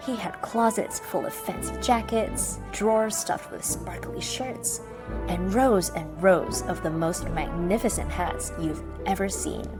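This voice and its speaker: Music plays in the background as a woman with an American accent talks at a fairly slow pace. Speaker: storyteller. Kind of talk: children's bedtime story reading.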